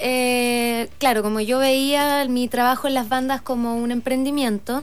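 A woman speaks at a high pitch. She has a Chilean accent. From southern Chile (Osorno). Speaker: entrepreneur and radio show founder. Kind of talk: radio interview.

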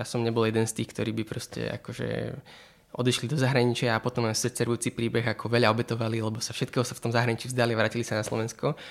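The man's medium-pitched speech is very fast, with monotone, flat intonation. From Slovakia, Bratislava. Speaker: doctoral student and author. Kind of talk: interview. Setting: studio in Bratislava.

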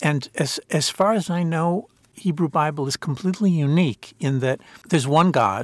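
His pitch varies in an ordinary way. The man speaks with an American accent. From US (Princeton, New Jersey). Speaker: author and political philosopher. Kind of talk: interview. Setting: in person, Jerusalem. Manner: halting, many repetitions.

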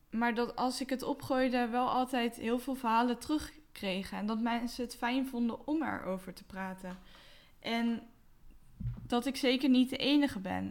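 At a fairly slow pace, a woman with a high voice speaks with fairly even intonation on a very clean recording with a silent background. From Westland, South Holland, Netherlands. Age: 20s. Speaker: podcast host. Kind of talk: solo podcast monologue. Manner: hesitant with fillers.

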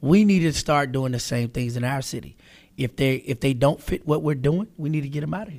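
A man with an American accent and an ordinary speaking voice, at a fairly quick pace with ordinary pitch variation. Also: fairly high pitch for a man. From Charlotte, North Carolina. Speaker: radio host. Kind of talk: casual interview.

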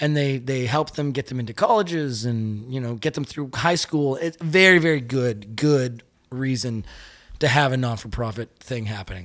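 In an ordinary speaking voice, a man talks at a moderate pace with medium pitch and ordinary pitch variation, captured on a very clean recording with a silent background. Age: 30s. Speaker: musician. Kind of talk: casual chat.

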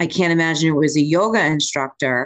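Using a normal speaking voice, a woman talks at a moderate pace with fairly even intonation and fairly low pitch, the sound dry and close with no echo. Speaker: podcast co-host. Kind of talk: casual chat.

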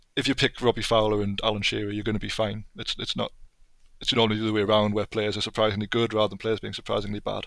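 A man with a Geordie accent speaks very fast in a fairly low pitch with monotone, flat intonation. The recording is very clean with a silent background. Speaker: football video game enthusiast and writer. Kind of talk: casual chat.

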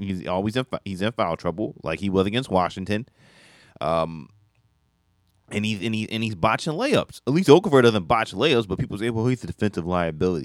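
In a normal speaking voice, a man talks at a fairly quick pace with a fairly low pitch and lively intonation. The recording is very clean, with a silent background. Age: 20s. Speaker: radio sports co-host. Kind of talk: radio sports talk, casual banter. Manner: relaxed, agreeable, laughing, echoing co-host.

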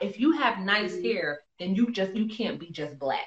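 A woman with a New York accent. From New York City. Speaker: actress. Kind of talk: casual interview. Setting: Instagram live video call.

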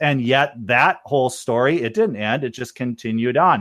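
With lively intonation, a man speaks in a normal speaking voice. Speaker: engineer. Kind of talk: casual chat. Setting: video call.

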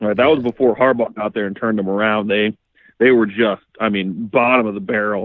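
A man's fairly low voice, an unremarkable speaking voice, with fairly even intonation and an American accent. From Iowa, US Midwest. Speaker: former pro football player. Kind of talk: casual chat.

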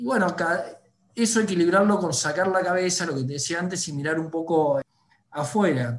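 The delivery moves at a moderate pace with ordinary pitch variation. Long, frequent pauses break it up. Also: man, high pitch for a man. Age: 40s. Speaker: newspaper executive. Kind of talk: interview.

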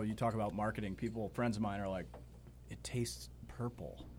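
A man with an American accent talks at a fairly quick pace in a fairly low, somewhat breathy voice. His pitch swings very widely. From Montauk, Long Island, New York. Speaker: brewery co-owner. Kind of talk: casual chat. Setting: studio.

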